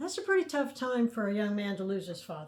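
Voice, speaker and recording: A somewhat breathy voice with an American accent. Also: woman. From US Midwest, central Illinois (near Mattoon). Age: 70s. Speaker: podcaster telling her life story. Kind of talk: personal storytelling monologue. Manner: conversational, with frequent hesitations and fillers.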